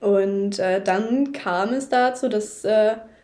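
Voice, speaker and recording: A woman's fairly high voice with a dark, mellow tone and ordinary pitch variation. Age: young. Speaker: horse photographer. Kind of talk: casual chat. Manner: hesitant, many filler sounds.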